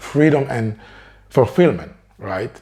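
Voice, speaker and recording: His voice is somewhat breathy, with ordinary pitch variation. The man speaks at a fairly slow pace. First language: French. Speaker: career coach. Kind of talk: motivational talk to camera.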